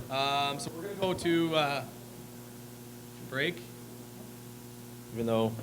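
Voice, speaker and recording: A man with a Canadian accent speaks amid audible room echo. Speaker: event moderator. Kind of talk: event announcements. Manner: loud.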